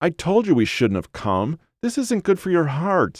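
A whiny, put-on character voice moves through very wide pitch swings at a fairly slow pace. The recording is very clean, with a silent background and a dry, close sound with no echo. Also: man, fairly high pitch for a man.

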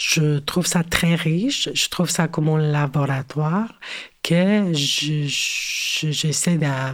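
In a Spanish accent, a woman talks at a very slow pace. Her voice is very deep and low in pitch, with ordinary pitch variation. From Mexico City. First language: Spanish (speaking French). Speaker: cultural worker and curator. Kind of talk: interview. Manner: halting, many hesitations.

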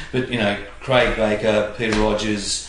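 Fairly slow speech from a man with an Australian accent, with audible room echo and noticeable background noise. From Australia, Illawarra (New South Wales). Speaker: former footballer and coach. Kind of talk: casual interview. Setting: at his home.

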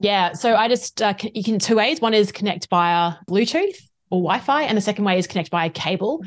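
A woman with an Australian accent talks at a fairly quick pace and medium pitch, with ordinary pitch variation and hardly any pauses. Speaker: facilitator and trainer, consultant. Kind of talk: interview, casual professional chat.

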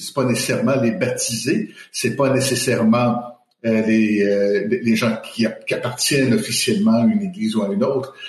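There is audible room echo around this man's voice. He talks at a fairly slow pace. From Quebec. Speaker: theology professor. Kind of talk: panel discussion. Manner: hesitant, many fillers.

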